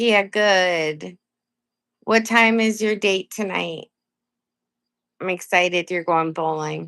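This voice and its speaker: An American-accented woman with a medium pitch, a very slow pace, and long, frequent pauses. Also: fairly even intonation, quiet background. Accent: Maine accent, consciously reduced. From coastal Maine, US. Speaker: live streamer. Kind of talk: casual live stream chat. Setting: live stream. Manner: casual, chatty.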